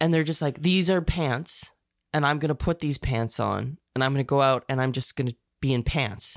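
At a moderate pace, a woman speaks with a very deep, low pitch and ordinary pitch variation, the sound dry and close with no echo on a very clean recording with a silent background. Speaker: podcast co-host. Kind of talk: casual banter between co-hosts. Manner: laughing often, playful.

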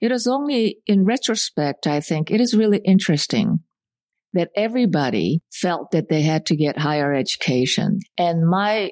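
A woman's lively intonation at a moderate pace, in a dry, close sound with no echo. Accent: Korean. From South Korea (Seoul). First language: Korean. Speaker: college president. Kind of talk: interview. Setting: dining room of college president's home.

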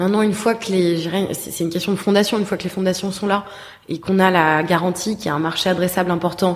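A woman talks at a very fast pace in a medium pitch. Her intonation stays fairly even. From France, Paris. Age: 20s. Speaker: tech entrepreneur, app founder. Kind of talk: interview. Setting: office. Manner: halting, many fillers and repetitions.

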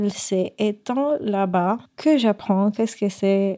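A woman's fairly high-pitched, dark and mellow voice with a Spanish accent, at a very slow pace with ordinary pitch variation. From Puerto Rico. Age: 30s. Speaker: guest sharing her life story. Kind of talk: personal testimony. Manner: halting.

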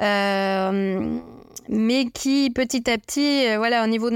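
A woman's fairly high voice with fairly even intonation on a very clean recording with a silent background. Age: 40s. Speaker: patient sharing her health story. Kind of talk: personal testimony interview.

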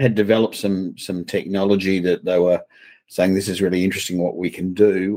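In an Australian accent, a man speaks with a fairly low pitch. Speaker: company president guest. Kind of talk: interview.

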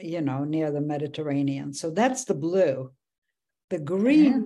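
A woman's very deep, low voice in a dark, mellow tone against a quiet background. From Poland. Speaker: author. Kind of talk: interview.

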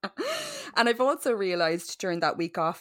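A woman speaks with an Irish accent. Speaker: podcast host. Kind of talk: casual chat. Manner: animated.

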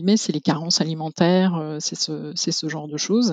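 Recorded in a dry, close sound with no echo, a woman speaks at a moderate pace with ordinary pitch variation. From rural France. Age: 40s. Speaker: zero-waste practitioner. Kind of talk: interview testimony. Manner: halting.

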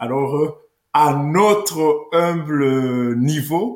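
This man's voice is fairly high and his intonation lively. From Rwanda. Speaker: political columnist. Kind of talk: interview. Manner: halting.

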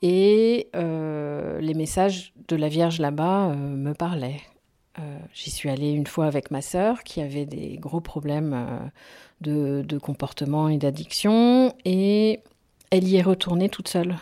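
A woman speaks at a very slow pace with a very deep, low pitch. Her tone is dark and mellow, with ordinary pitch variation. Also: very clean recording, silent background. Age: 50s. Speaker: former cult member, anti-cult association president. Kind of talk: testimony. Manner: hesitant with fillers.

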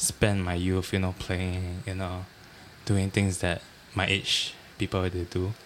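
In a Singaporean accent, a man with a very deep, low pitch speaks at a fairly slow pace with monotone, flat intonation. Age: 20s. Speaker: trainee chef. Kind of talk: casual chat.

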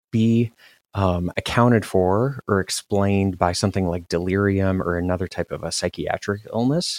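Recorded very cleanly against a silent background, a man with a fairly low pitch talks at a moderate pace with fairly even intonation in a dry, close sound with no echo. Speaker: co-host researcher. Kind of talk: educational podcast conversation. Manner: halting, many fillers.

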